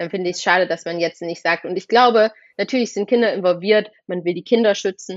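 Her pitch varying in an ordinary way, a woman speaks at a very fast pace. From Thuringia, eastern Germany (Rudolstadt). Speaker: actress and filmmaker. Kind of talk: casual chat. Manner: animated.

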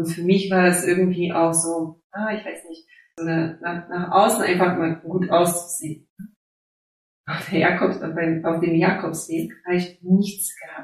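A woman's fairly low voice in an Eastern European accent, fairly slow and monotone, flat in intonation, with big swings in loudness. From Silesia, Poland (near Opole). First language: Silesian/Polish (speaking German). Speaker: life coach and educator. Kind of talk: interview. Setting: video call. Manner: halting.

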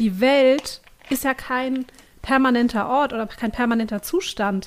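Her pitch high for a woman, a woman talks with ordinary pitch variation. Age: 30s. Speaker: parenting writer on social media. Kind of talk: casual chat.

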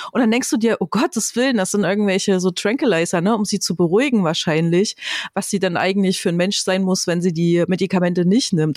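A woman's normal speaking voice, fairly quick, with lively intonation. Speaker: podcast co-host, film reviewer. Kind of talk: casual chat.

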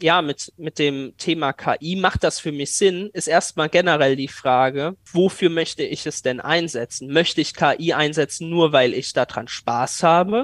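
With an unremarkable speaking voice, a man of fairly high pitch talks at a fairly slow pace with hardly any pauses and ordinary pitch variation, in a dry, close sound with no echo. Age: 20s. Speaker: AI startup founder. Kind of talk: interview.

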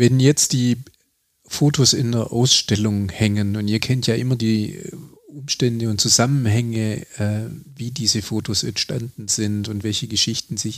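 A man talks at a fairly slow pace in an ordinary speaking voice. His pitch is medium and his intonation fairly even. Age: 40s. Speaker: museum director and podcast host. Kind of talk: interview.

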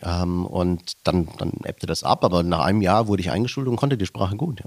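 Speaking at a fairly quick pace, a man with an unremarkable speaking voice shows ordinary pitch variation in a dry, close sound with no echo. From Germany, Stuttgart area (fled from Slovakia at six). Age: 40s. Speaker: podcast co-host, businessman. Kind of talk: casual chat.

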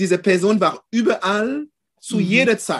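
A man's high-pitched voice moves at a moderate pace, its pitch shifting in an ordinary way. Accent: French. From France, Caribbean parents. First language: French (speaking German). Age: 50s. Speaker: photographer. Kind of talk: casual interview. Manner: halting.

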